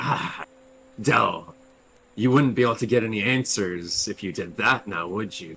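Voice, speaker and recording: Here a man puts on a character voice at a medium pitch. He speaks at a moderate pace. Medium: actual play. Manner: cryptic, knowing.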